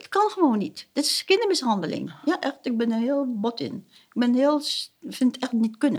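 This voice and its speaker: High in pitch, a woman's voice is heard. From Suriname. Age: 60s. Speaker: family therapist. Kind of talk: interview. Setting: at her home. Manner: halting.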